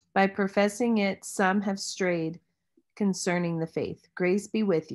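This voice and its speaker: Female speech at a medium tempo, the surroundings silent. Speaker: student; Bible class teacher. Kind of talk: reading aloud. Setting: video call. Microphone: video call.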